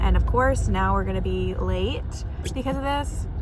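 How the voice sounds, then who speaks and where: Fairly quick female speech amid noticeable background noise and audible room echo. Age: 20s. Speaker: lifestyle vlogger. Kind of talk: casual vlog narration. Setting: in a car. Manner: whispering.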